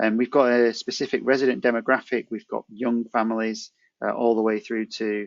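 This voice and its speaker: A man speaks in a northern English accent at medium pitch. His intonation is monotone and flat. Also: fairly quick pace. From northern England. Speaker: housing charity manager, navy veteran. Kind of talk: webinar presentation. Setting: video call. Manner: hesitant, many fillers.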